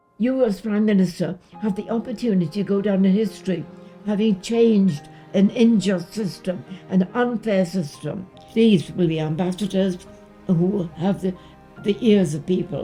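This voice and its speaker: With music in the background, a woman speaks at a medium pitch in a British accent. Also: ordinary pitch variation, moderate pace. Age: 80s+. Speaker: war veteran. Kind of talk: personal testimony to camera.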